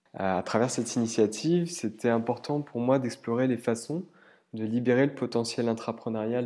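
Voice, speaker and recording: A man's dark, mellow voice at a medium pitch, with ordinary pitch variation and a fairly slow pace. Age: 30s. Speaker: human resources professional. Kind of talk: scripted narration. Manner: hesitant fillers.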